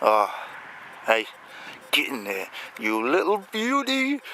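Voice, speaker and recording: A man's voice against noticeable background noise. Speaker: metal detectorist. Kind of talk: outdoor hobby commentary. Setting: outdoors on a farm. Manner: mumbling.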